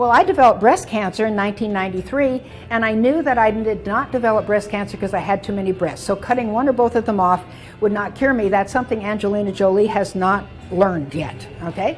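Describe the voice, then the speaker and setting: Music plays in the background as a woman speaks very fast at a medium pitch. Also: ordinary pitch variation. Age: 80s+. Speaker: doctor and cancer survivor. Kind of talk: interview.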